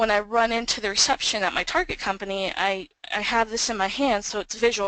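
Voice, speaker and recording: A woman's medium-pitched voice at a fairly quick pace, fairly even in intonation, with a dry, close sound and no echo. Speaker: social engineering professional. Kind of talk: webinar presentation. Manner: fast.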